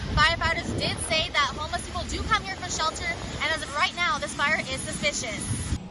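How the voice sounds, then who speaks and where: Fairly quick speech comes with hardly any pauses and fairly even intonation. Noticeable background noise is present. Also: woman, extremely high pitch for a woman. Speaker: news reporter and anchor. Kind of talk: TV news field report.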